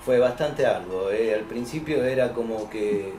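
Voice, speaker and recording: A man talks at a medium pitch. Noticeable background noise and audible room echo surround him. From Buenos Aires, Argentina. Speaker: voice actor and narrator. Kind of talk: interview.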